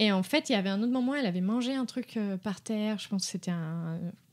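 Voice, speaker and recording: On a very clean recording with a silent background, a woman talks at a fairly quick pace with lively intonation. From Brazil. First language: Portuguese (speaking French). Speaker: dog behaviour consultant. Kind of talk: podcast interview. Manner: halting, many hesitations.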